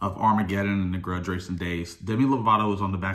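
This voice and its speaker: A man's very deep, low voice with a bright, sharp tone, very fast delivery, fairly even intonation and audible room echo. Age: 20s. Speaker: drag racer and vlogger. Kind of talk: casual vlog talk.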